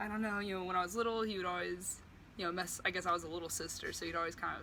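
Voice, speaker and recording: In a room with audible echo, a woman with an American accent talks very fast at a medium pitch, her tone bright and sharp and her intonation monotone and flat. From Texas, Houston. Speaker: college student. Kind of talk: personal introduction video. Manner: casual, hesitant with many fillers.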